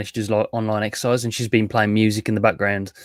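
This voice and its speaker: Recorded with a dry, close sound and no echo, a man speaks at a medium pitch. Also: very clean recording, silent background. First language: not English. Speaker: chat show host. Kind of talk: casual chat.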